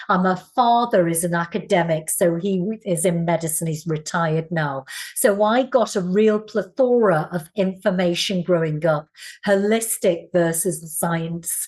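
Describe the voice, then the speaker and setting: Speaking with a slight Scouse accent, a woman has a fairly low pitch with ordinary variation. Her pace is moderate. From northern England, Liverpool. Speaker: Pilates teacher and wellness coach. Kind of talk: interview answers.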